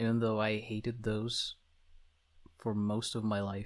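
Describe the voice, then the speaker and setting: A man with a Slavic accent talks at a fairly slow pace, at a medium pitch with monotone, flat intonation. The recording is very clean, with a silent background. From Slavic country. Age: 20s. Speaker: VTuber. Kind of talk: self-introduction monologue.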